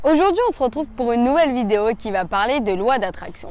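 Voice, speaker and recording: Pitch rises and falls very widely as the words come at a moderate pace. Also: woman. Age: 20s. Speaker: motivational youtuber. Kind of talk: motivational talk.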